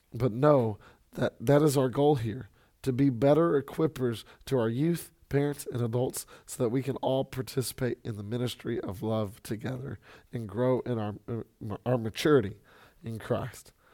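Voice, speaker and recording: A man speaks at a moderate pace in a dark, mellow tone with ordinary pitch variation. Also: medium pitch for a man. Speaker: youth pastor. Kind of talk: recorded ministry update for parents. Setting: solo recording. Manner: halting, many fillers.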